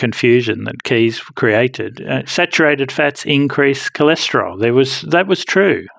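Here is a man with a normal speaking voice at medium pitch. He talks at a fairly slow pace with ordinary pitch variation. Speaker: professor giving medical expertise. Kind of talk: interview.

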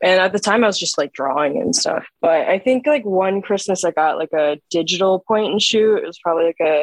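A woman with a normal speaking voice, medium pitch, and a fairly quick pace, in a dry, close sound with no echo. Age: 20s. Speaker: film photographer and artist. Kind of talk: casual chat.

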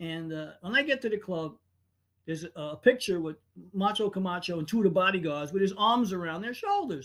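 Speaking at a fairly quick pace, a man with a high pitch uses lively intonation and big swings in loudness. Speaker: podcast host. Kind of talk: casual banter, livestream chat. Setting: live stream, online. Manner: joking, animated.

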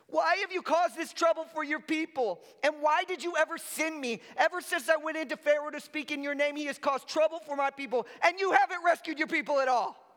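In a put-on character voice, someone speaks at a very fast pace with a high, whiny pitch. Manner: whiny, complaining.

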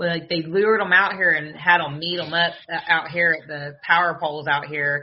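A woman with a Southern US accent and a fairly low pitch talks at a moderate pace in monotone, flat intonation. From US South. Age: 30s.

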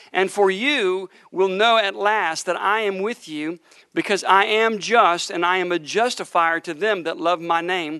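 The speech comes at a fairly slow pace in an animated tone. The background is quiet. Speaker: preacher. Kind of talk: sermon. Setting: church with congregation. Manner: animated, fervent preaching with prophetic pronouncements.

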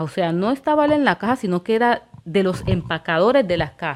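Her pitch medium and her intonation lively, a woman speaks in an unremarkable speaking voice. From Colombia, Quibdó, Chocó. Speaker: podcast host. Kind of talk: solo monologue podcast.

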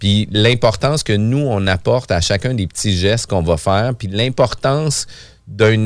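A man speaks fairly slowly in an unremarkable speaking voice, fairly low in pitch with ordinary pitch variation. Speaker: podcast host, real estate broker. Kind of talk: casual chat.

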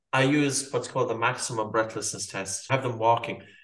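Speaking very fast with an Irish accent, a man is heard with audible room echo. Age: 40s. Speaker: breathing educator and author. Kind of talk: interview.

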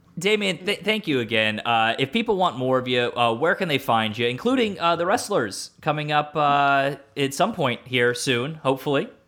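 Keeping very even loudness and hardly any pauses, a man with a plain, everyday voice speaks at a fairly high pitch and moderate pace with lively intonation. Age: 30s. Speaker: wrestling podcast host. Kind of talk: casual chat.

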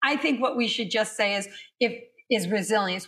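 A woman speaks in an ordinary speaking voice. Her pitch is fairly high, and her intonation fairly even. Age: 50s. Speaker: fitness instructor. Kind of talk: interview.

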